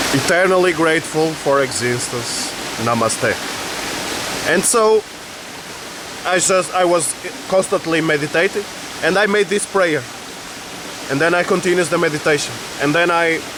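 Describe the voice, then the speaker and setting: The speech moves at a moderate pace, broken by long, frequent pauses, with noticeable background noise behind it. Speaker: spiritual vlogger. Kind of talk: personal testimony vlog.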